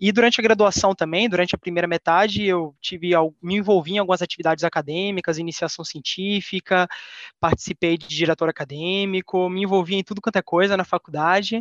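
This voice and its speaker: Speaking with a São Paulo accent at a fairly quick pace, a man uses high pitch and fairly even intonation in a dry, close recording with no echo. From Bahia, Salvador. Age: 20s. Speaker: trainee engineer. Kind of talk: casual interview.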